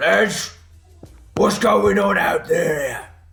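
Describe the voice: A raspy, put-on character voice from a man, pitched high.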